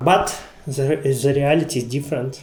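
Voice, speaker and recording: Fairly slow and with fairly even intonation, a man speaks in a fairly high voice with a non-native accent against noticeable background noise. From Ukraine. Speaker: type designer. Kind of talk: conference lecture.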